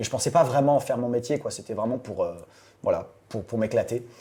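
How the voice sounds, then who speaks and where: A man talks with lively intonation at a medium pitch. His tone is dark and mellow. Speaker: voice actor. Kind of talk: interview answer. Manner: casual, hesitant.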